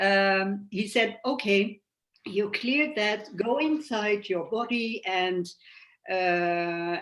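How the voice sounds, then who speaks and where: Very slow, medium-pitched speech from a woman. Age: 60s. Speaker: cancer patient sharing her story. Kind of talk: interview. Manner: halting.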